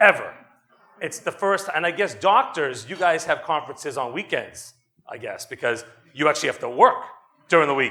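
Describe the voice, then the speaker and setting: A man with a Boston accent speaks at a fairly quick pace in a high pitch, with an animated tone and lively intonation. His loudness swings widely, and he leaves long, frequent pauses. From Boston, Massachusetts. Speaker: attorney and company executive, conference speaker. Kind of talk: conference talk. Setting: stage with audience. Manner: fast.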